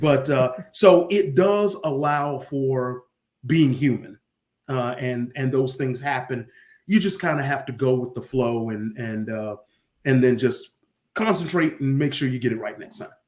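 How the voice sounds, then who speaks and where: This man has an unremarkable speaking voice pitched in the medium range. He talks at a fairly slow pace with ordinary pitch variation. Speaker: stadium public address announcer. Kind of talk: interview answer, casual conversational storytelling.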